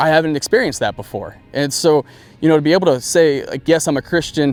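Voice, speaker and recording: Talking at a very fast pace, a man with an American accent uses a fairly high pitch and ordinary pitch variation. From US Midwest, Iowa. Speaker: college football coach. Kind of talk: interview. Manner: halting, many fillers.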